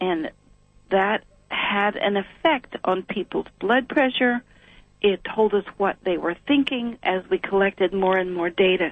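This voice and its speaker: A woman with an ordinary speaking voice and an American accent speaks at medium pitch and a fairly slow pace, with ordinary pitch variation. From US Appalachia. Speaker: sound healing researcher. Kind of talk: interview.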